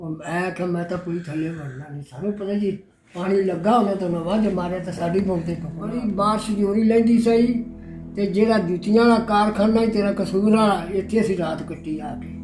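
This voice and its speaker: A man talks in a high pitch with ordinary pitch variation. Music plays in the background, and there is audible room echo. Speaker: partition survivor. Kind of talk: oral history interview.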